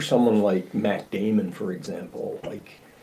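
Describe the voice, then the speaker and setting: The speaker is a man with a Newfoundland accent. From Newfoundland, St. John's east end. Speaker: podcast host. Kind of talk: interview. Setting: video call.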